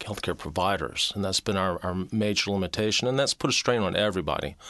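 A man with an unremarkable speaking voice talks at a moderate pace and fairly low pitch, with ordinary pitch variation against a quiet background. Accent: American. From US South, Mobile, Alabama. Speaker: university chancellor and physician. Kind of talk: interview.

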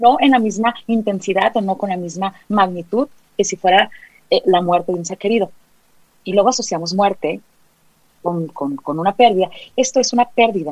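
At a moderate pace, a woman speaks at a medium pitch with ordinary pitch variation. She takes long, frequent pauses. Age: 40s. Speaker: psychologist. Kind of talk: interview.

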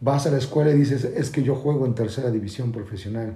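In a room with audible echo, a man speaks at a fairly quick pace with a medium pitch and ordinary pitch variation. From Mexico City. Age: 40s. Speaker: football coach. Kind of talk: casual chat. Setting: in-person studio recording. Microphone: distorted backup recording.

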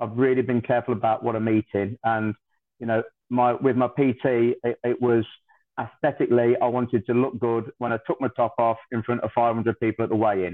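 A man's medium-pitched, monotone voice at a fairly quick pace. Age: 50s. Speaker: barber and amateur boxer. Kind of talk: casual chat.

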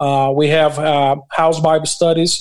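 In a Portuguese accent, a man speaks at a fairly high pitch with monotone, flat intonation. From Brazil. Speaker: pastor and construction worker. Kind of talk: interview. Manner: halting.

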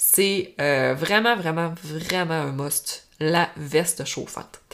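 The speaker has a Saguenay–Lac-Saint-Jean accent and lively intonation. The recording is very clean, with a silent background. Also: woman. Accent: Quebec French, Saguenay–Lac-Saint-Jean. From Quebec, Lac-Saint-Jean. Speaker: equestrian coach and podcast host. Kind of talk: solo podcast monologue, tips and advice. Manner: casual, conversational.

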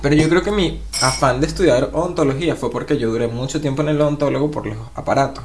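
Over noticeable background noise and audible room echo, a man with a Venezuelan accent talks at a very fast pace. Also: ordinary pitch variation, hardly any pauses. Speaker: podcast co-host. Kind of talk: casual chat. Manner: animated.

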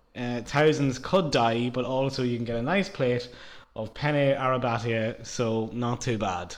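A man with an Irish accent, medium pitch, ordinary pitch variation and a fairly slow pace. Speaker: podcast co-host. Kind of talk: casual chat.

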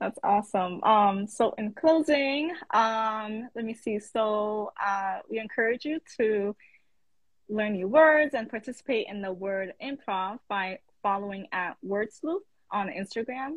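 With an American accent, a woman speaks at a fairly high pitch and a fairly slow pace. Her voice is somewhat breathy, with ordinary pitch variation. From the Bronx, New York. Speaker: interviewer. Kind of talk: casual interview. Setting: Instagram live video.

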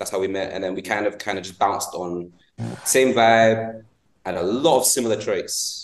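This man has a London accent and medium pitch. His pitch variation is ordinary. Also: moderate pace. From England. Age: 20s. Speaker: podcast host. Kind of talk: casual chat.

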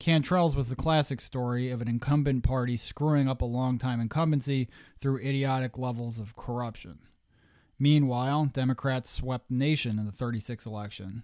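In a very clean recording with a silent background, a man with a Pennsylvania accent talks at a moderate pace, medium in pitch and fairly even in intonation. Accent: Mid-Atlantic US (Pennsylvania). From southeastern Pennsylvania. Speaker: history podcast host. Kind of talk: scripted narration.

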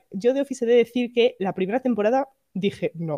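In an animated tone, a woman with a fairly high voice speaks at a moderate pace. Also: dry, close sound with no echo. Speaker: podcast co-host. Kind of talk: casual chat.

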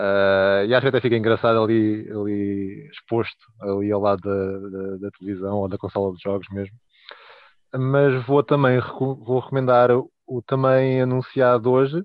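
A man with a European Portuguese accent speaks at a fairly low pitch and moderate pace. His pitch variation is ordinary, and his loudness swings widely. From Portugal (Leiria). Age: 30s. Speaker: toy collector. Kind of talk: casual chat. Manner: halting.

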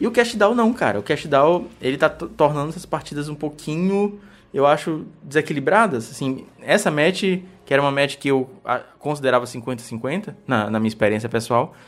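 A man's fairly high voice swings very widely in pitch. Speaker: podcast host. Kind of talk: casual chat. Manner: fast.

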